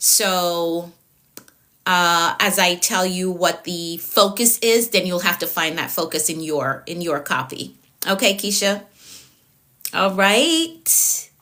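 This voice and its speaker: A woman's fairly low, bright, sharp voice at a very slow pace, with ordinary pitch variation and a Jamaican accent. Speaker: productivity coach. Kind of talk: live-stream coaching session. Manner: frequent filler words.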